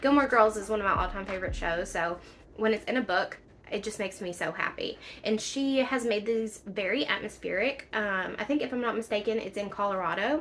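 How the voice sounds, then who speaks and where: With a strong Southern US accent, the speaker moves at a fairly quick pace using ordinary pitch variation. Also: woman, fairly high pitch for a woman. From Kentucky, US South. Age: 30s. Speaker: book vlogger. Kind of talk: casual book review vlog. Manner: animated.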